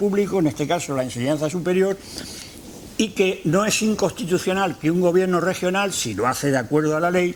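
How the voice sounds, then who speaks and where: There is noticeable background noise as a man with a high pitch speaks with ordinary pitch variation. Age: 70s. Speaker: retired university rector. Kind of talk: lecture. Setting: lecture hall with audience. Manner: halting.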